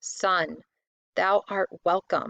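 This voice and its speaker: In a put-on character voice, a woman sounds raspy at a medium pitch. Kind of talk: archaic formal speech. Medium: read story. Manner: gentle, majestic.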